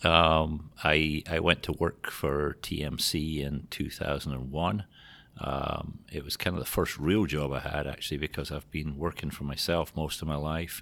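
A man's very deep, low voice in a Scottish accent, bright and sharp in tone with vocal fry, monotone and flat, at a moderate pace on a very clean recording with a silent background. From Scotland. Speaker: trucking company general manager. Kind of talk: interview.

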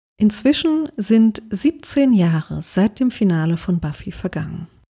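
A somewhat breathy voice with a dark, mellow tone and very wide pitch swings comes through with a dry, close sound and no echo. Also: woman. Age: 30s. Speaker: podcaster sharing personal story. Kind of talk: scripted personal narration.

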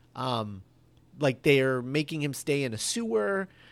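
Speaking very slowly, the man keeps a medium pitch. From mixed, moved around. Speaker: podcaster and movie commentator. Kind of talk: casual chat.

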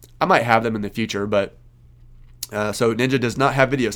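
This is a man's voice at a medium pitch. Its pitch variation is ordinary. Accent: Kansas. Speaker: podcast host, CPA exam tutor. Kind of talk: Q&A answers to a student group, casual monologue. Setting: recorded video. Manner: halting, many fillers.

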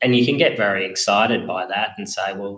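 Talking at a moderate pace, a man speaks with an Australian accent. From Australia, Wagga Wagga, New South Wales. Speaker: farm business advisor. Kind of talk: interview.

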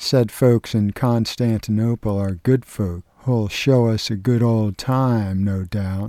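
What you hear here is plain reading aloud.

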